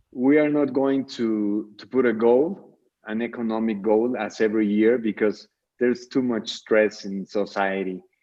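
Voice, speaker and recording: Big swings in loudness at a moderate pace, with a Mexican accent and fairly even intonation. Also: man, medium pitch for a man. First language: Spanish. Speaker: charity founder. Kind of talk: radio interview.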